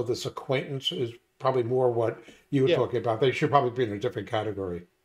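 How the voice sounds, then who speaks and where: Against a quiet background, a man talks at a very fast pace in a somewhat breathy voice with lively intonation. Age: 60s. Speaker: podcast co-host. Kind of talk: casual chat. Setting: video call. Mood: warm, joking. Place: home room. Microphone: video call.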